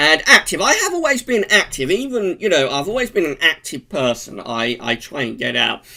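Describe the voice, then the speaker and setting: A man with an English accent, very wide pitch swings and hardly any pauses, over noticeable background noise. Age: 40s. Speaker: vlogger. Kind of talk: casual vlog monologue. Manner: hesitant, many fillers.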